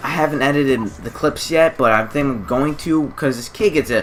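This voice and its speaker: A man's fairly high voice with ordinary pitch variation and hardly any pauses, over noticeable background noise. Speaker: gaming YouTuber. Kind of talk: gameplay commentary. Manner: fast; animated.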